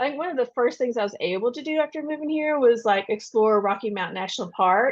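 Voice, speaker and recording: Against a quiet background, a woman with a Kentucky accent speaks at a high pitch with lively intonation. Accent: Kentucky accent, still noticeable. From Western Kentucky. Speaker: debut novelist. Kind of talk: podcast interview. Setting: podcast recording. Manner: casual, chatty.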